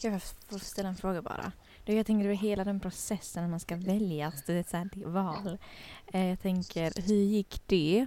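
A woman's plain, everyday voice, medium in pitch, with fairly even intonation and a moderate pace. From Kurdistan. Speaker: community radio host. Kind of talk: casual chat.

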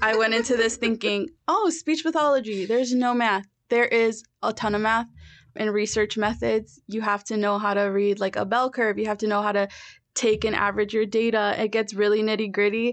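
Over a quiet background, a woman speaks at a fairly quick pace and a fairly high pitch. Hers is an unremarkable speaking voice with very even loudness. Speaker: graduate student in speech pathology. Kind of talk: interview. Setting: studio.

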